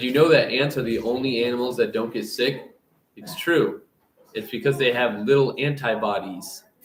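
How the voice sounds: A natural reading voice carries ordinary pitch variation. The background is quiet.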